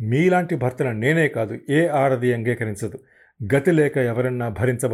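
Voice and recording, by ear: This is reading aloud in a natural voice. The words are read as written.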